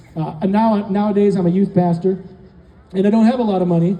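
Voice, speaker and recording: Audible room echo surrounds this man's voice. He speaks high in pitch at a fairly quick pace. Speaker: comedian. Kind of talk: stand-up. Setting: stage with audience. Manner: talkative.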